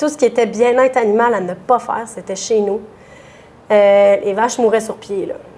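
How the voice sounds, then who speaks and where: A woman's fairly high voice with a Quebec accent. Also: ordinary pitch variation, moderate pace. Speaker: dairy farmer. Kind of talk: interview. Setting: restaurant bar. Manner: loud; animated.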